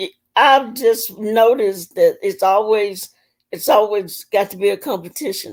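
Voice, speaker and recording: A fairly slow, fairly high-pitched woman's voice with ordinary pitch variation, in a very clean recording over a silent background. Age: 50s. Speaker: retired police officer. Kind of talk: casual chat. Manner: soft-spoken.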